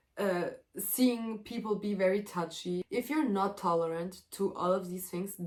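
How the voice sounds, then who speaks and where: Speaking fairly slowly with a German accent, the woman keeps a medium pitch. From Germany, Serbian family. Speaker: vlogger, exchange student. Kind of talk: casual vlog monologue. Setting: at home, sitting in a room. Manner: animated.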